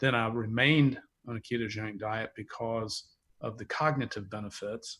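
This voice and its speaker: A man speaks with a Southern US accent at medium pitch and ordinary pitch variation. The recording is very clean, with a silent background. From US South, North Carolina (near Charlotte). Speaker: wine company founder, entrepreneur. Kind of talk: interview conversation.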